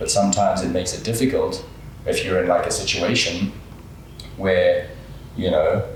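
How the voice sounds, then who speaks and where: There is audible room echo and noticeable background noise as a man speaks at a moderate pace with long, frequent pauses. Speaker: singer and artist. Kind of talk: casual interview.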